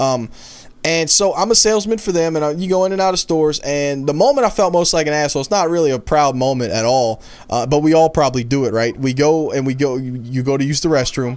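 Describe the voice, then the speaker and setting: Over noticeable background noise, a man talks at a very fast pace with lively intonation and a fairly high pitch. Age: 20s. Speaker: gaming youtuber and salesman. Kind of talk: gameplay commentary. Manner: casual.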